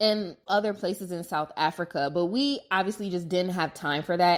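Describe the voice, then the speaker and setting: On a very clean recording with a silent background, a woman with an American accent uses an unremarkable speaking voice at medium pitch and a moderate pace. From United States. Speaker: podcast host. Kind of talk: casual travel storytelling monologue. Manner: conversational, filler-heavy.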